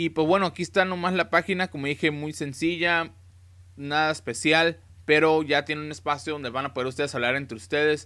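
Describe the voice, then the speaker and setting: A man speaks with a fairly high pitch and a bright, sharp tone. His pitch varies in an ordinary way over a quiet background. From Tijuana, Baja California, Mexico; Baja California, Mexico. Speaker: YouTuber, car audio installer. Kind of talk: casual website walkthrough tutorial; casual screencast tutorial. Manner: casual, with many fillers. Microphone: webcam.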